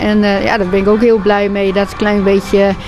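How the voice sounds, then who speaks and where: A woman is speaking. Light background noise sits behind her. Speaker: interviewee. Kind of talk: interview answer. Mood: pleased, friendly. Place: kitchen. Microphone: handheld.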